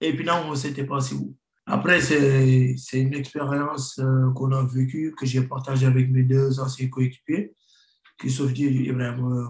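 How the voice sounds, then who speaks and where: Fairly slow, monotone speech from a man, somewhat breathy and flat in intonation, with audible room echo and a quiet background. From Senegal, Rufisque; Senegal. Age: 30s. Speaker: professional footballer; guest. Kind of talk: interview. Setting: remote video link. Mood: calm, reflective. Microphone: video call.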